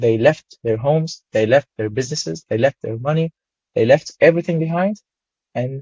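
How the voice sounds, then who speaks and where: The speaker is somewhat breathy, with lively intonation at a moderate pace. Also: man, fairly high pitch for a man. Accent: Arabic. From Syria. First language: Arabic. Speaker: photographer. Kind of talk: interview. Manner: halting, with many repetitions.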